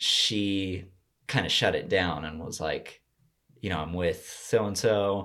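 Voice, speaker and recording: With an American accent, a man talks at a very slow pace in a fairly low pitch, on a very clean recording with a silent background. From Colorado, US. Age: 20s. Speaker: podcast guest. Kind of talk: casual chat.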